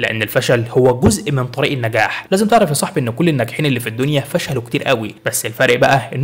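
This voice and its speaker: A man's fairly quick speech with ordinary pitch variation amid noticeable background noise. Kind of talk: motivational self-help narration. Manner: encouraging, storytelling.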